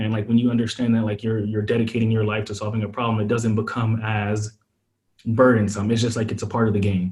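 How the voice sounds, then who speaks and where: A man's medium-pitched, somewhat breathy voice with a dark, mellow tone, an American accent, monotone, flat intonation, and a very fast pace. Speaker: startup founder, former venture investor. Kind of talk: podcast interview. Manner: casual, many fillers.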